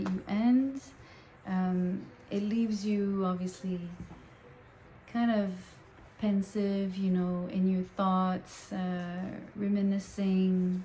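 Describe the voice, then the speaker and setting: Speaking at a very slow pace with long, frequent pauses, a woman with a French Canadian accent holds a medium pitch in a monotone, flat delivery. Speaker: tarot reader. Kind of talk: tarot reading. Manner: hesitant, many fillers.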